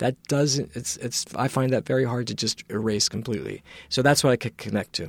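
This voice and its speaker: A man with an American accent speaks with vocal fry and fairly even intonation. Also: medium pitch for a man, fairly quick pace. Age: 50s. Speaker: screenwriter. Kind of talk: interview. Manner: halting, many fillers.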